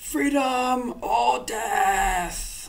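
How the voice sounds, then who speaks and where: A raspy, put-on character voice. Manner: defiant.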